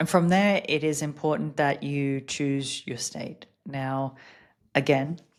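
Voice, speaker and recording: Very slow speech with fairly even intonation in an Australian accent, on a very clean recording with a silent background. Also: woman, very deep, low pitch for a woman. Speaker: podcast host and business coach. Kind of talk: casual podcast monologue.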